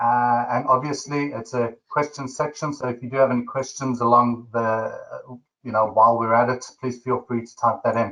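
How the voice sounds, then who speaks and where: In a South African accent, a man speaks at a moderate pace with hardly any pauses, his medium-pitched voice bright and sharp in tone, with fairly even intonation and big swings in loudness. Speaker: webinar host. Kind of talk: webinar presentation.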